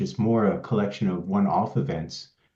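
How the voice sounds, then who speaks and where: Speaking at a moderate pace, a man with a dark, mellow tone and fairly low pitch swings his pitch very widely. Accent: Swedish. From Sweden. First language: Swedish. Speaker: pharmaceutical quality consultant. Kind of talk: presentation introducing a software demo. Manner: hesitant, with many fillers and repeated words.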